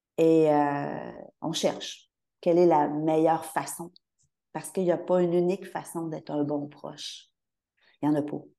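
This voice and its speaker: A woman's very deep, low voice in a Quebec accent, dark and mellow in tone, monotone and flat, with long, frequent pauses. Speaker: bereaved mother of adults with mental illness. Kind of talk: testimony.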